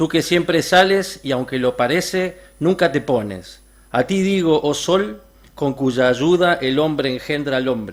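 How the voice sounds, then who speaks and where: This man speaks with an Argentine accent at a fairly slow pace. His pitch is fairly high. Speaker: reader at a literary event. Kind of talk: reading aloud.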